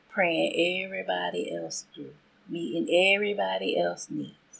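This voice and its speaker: In a Southern US accent, the speaker talks at a fairly slow pace. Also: woman. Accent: Southern American. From Southern United States. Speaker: faith podcast host. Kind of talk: inspirational podcast monologue.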